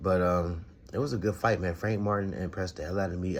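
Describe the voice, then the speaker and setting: Here a man speaks with a very deep, low pitch. His pace is fairly quick. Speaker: boxing podcast host. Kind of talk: casual commentary monologue. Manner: halting, stuttering.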